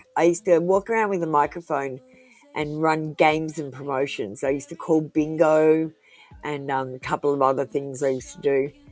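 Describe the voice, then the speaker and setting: A woman speaks. Her pitch is very deep and low. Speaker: tarot reader. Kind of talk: live-stream tarot reading. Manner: slow; dramatic.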